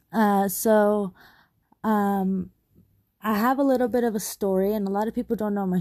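Speaking at a fairly slow pace, a woman uses a dark, mellow tone and fairly even intonation. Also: very clean recording, silent background. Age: 20s. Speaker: podcast host sharing personal story. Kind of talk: personal monologue. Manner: hesitant, many fillers.

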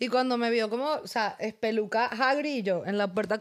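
High-pitched female voice at a moderate pace, on a very clean recording with a silent background. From Venezuela. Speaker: podcast co-host and comedian. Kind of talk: casual chat.

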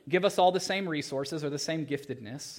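Speech comes in a normal speaking voice, delivered at a moderate pace. The background is silent in this very clean recording. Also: man. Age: 30s. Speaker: pastor. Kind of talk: sermon. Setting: church. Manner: casual, filler-heavy.

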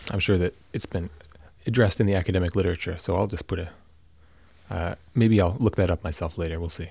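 Very deep and low, a man's somewhat breathy voice moves at a very fast pace with fairly even intonation and long, frequent pauses, in a very clean recording with a silent background. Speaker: podcaster. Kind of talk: solo monologue. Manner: meandering, halting.

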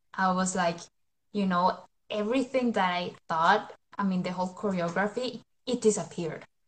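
A woman speaks with a Spanish accent at a moderate pace. Her voice is somewhat breathy. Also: medium pitch for a woman, ordinary pitch variation. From Colombia. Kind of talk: interview. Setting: live stream.

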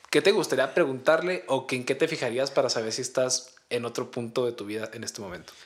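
A medium-pitched man rushes along at a very fast pace with hardly any pauses and big swings in loudness. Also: ordinary pitch variation. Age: 20s. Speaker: podcast co-host. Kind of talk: casual chat.

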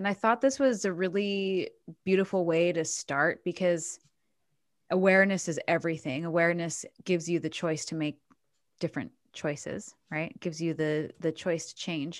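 Speaking at a moderate pace, a woman has a fairly low pitch with ordinary pitch variation. The recording is very clean, with a silent background. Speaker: spiritual podcast co-host. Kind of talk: casual chat. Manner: calm, relaxing.

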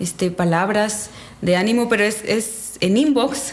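A woman's fairly high, lively voice at a very slow pace, with audible room echo and noticeable background noise. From Mexico, Quintana Roo. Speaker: church speaker, Bible teacher. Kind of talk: casual chat about a Bible story.

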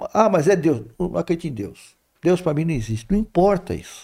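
A man with a fairly high pitch and a dark, mellow tone moves at a moderate pace, his pitch swinging very widely, with vocal fry. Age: 60s. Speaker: spiritist speaker. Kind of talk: casual spiritual talk in interview.

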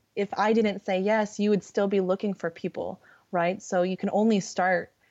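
Fairly even intonation from a woman at a moderate pace. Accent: Californian. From California. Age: young. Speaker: recruiter. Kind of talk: casual chat. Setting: video call. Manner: halting, many fillers.

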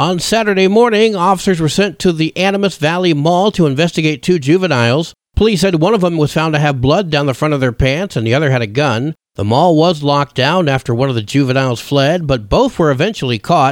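A man's unremarkable speaking voice, fairly high in pitch, with lively intonation, very even loudness and hardly any pauses, on a very clean recording with a silent background. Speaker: radio news host. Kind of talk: radio news reading, scripted local bulletin. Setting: radio studio. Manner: formal, steady, brisk newsreader cadence.

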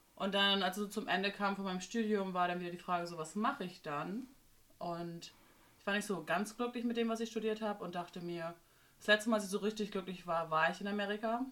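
A woman uses an ordinary speaking voice at a medium pitch. Her pace is fairly quick, and her pitch varies in an ordinary way. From northern Germany, Bremerhaven. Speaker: nanny. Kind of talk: casual chat.

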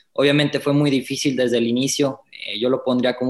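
A man speaks very fast at a medium pitch, his intonation flat and monotone. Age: 20s. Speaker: racing driver. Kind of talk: interview.

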